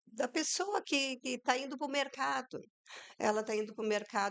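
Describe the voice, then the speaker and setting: At a fairly slow pace, a woman talks with vocal fry. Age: 60s. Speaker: entrepreneur, people management. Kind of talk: podcast interview.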